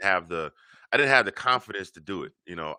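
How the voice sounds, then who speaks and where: Over a quiet background, a man speaks very fast with an American accent, lively intonation and vocal fry. His tone is bright and sharp, and the sound is dry and close with no echo. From Georgia, US South. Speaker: podcast host. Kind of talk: casual interview chat. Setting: studio.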